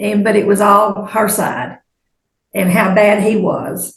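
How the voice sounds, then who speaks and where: A woman's voice with an American accent and vocal fry. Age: 70s. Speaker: witness. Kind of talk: testimony. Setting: courtroom.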